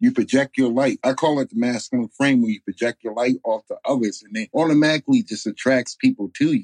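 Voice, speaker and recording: A man with an American accent talks at a fairly quick pace in an unremarkable speaking voice, medium in pitch with ordinary pitch variation and hardly any pauses, recorded dry and close with no echo. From New York, Bronx and upstate. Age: 30s. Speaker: life coach podcaster. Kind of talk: casual interview chat. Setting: remote call.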